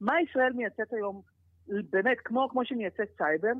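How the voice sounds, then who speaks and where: A woman's fairly high-pitched, an ordinary speaking voice, lively in intonation, at a moderate pace. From Israel. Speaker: former politician, head of export organization. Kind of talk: interview.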